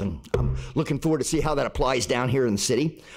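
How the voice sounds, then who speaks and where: His pitch sits in the medium range. The man talks at a fairly quick pace. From Florida (Melbourne). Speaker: public commenter at city council. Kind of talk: public comment at council meeting. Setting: council chamber, lectern microphone. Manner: casual, animated.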